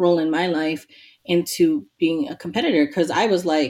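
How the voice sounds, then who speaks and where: A woman speaks with an American accent at a fairly quick pace. Hers is an ordinary speaking voice with a fairly low pitch. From New York City, Queens. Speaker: hip hop DJ and activist. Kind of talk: casual interview.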